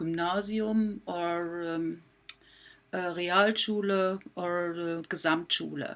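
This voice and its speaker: Speech comes at a very slow pace with fairly even intonation, in a German accent. The recording is very clean with a silent background. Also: woman, fairly low pitch for a woman. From Germany. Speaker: math teacher. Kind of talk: presentation. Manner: halting, many fillers.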